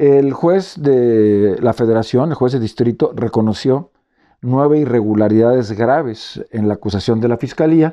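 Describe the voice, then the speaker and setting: Speaking at a moderate pace with a Mexican accent, a man of medium pitch uses ordinary pitch variation over a quiet background. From Mexico, Veracruz (Córdoba); Veracruz, Mexico. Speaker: former health official. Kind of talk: press statement. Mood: serious, aggrieved. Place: home room. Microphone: phone near.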